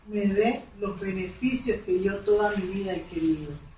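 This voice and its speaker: A woman's lively intonation with audible room echo. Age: 60s. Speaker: women's ministry speaker. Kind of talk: testimony.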